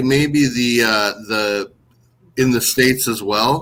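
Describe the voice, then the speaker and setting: With a northern Minnesota accent, a man speaks at a medium pitch in a bright, sharp tone, his pitch varying in an ordinary way. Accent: northern Minnesota accent, similar to Toronto. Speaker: baseball website founder. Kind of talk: podcast interview.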